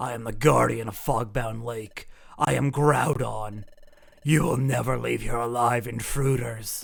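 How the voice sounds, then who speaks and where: A man is doing a put-on character voice. It sits at a medium pitch and moves at a moderate pace. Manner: menacing.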